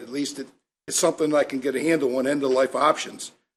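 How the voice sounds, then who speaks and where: Fairly even intonation marks this normal speaking voice with an American accent. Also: man. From Maryland, Elkton area. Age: 60s. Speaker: state legislator. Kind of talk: committee remarks.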